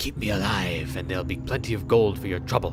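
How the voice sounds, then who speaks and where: A man whispers in a put-on character voice at a very fast pace over clear background noise. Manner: whispering, conspiratorial.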